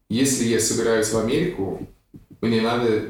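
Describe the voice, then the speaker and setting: A man with an American accent, medium in pitch, with fairly even intonation and audible room echo. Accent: American accent in Russian. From USA. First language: English (speaking Russian). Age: 30s. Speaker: actor and blogger. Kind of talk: casual interview.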